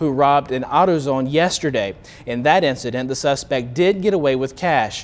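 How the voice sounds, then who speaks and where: Speaking fairly quickly in a normal speaking voice, a man with an American accent sits at a fairly high pitch with ordinary pitch variation. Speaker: local TV news anchor. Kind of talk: TV news anchor read.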